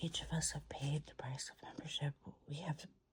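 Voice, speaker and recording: This woman is soft-spoken, whispering her words. Her pace is moderate. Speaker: ASMR reading creator, person in addiction recovery. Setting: at home in bed, dog audible in background. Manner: soft-spoken, whispered.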